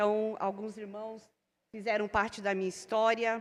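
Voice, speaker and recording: A woman is speaking. Her pace is moderate. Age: 60s. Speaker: preacher and theology teacher. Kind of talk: sermon. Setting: church service.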